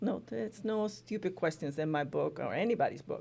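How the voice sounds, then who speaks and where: With a Spanish accent, a woman talks at a fairly quick pace. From Spain. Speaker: college language instructor. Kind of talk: interview. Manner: conversational, many fillers.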